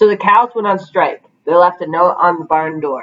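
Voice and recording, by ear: A woman speaks at a moderate pace. Her pitch is fairly low, with ordinary variation.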